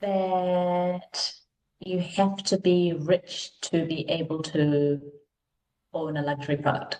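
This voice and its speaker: A woman with a New Zealand accent speaks at a very slow pace. Her fairly low voice stays monotone and flat. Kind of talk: podcast interview. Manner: many filler words, um.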